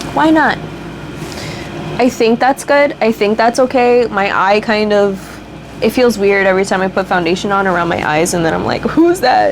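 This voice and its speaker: A woman speaking with long, frequent pauses over noticeable background noise. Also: medium pitch for a woman, lively intonation, moderate pace. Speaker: beauty vlogger. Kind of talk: casual chat. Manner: stuttering at times.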